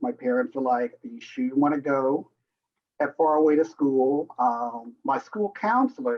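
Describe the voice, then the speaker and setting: This man has an unremarkable speaking voice and an American accent. His pitch is fairly high, his intonation lively, and his pace moderate. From Southern US. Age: 60s. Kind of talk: interview answer.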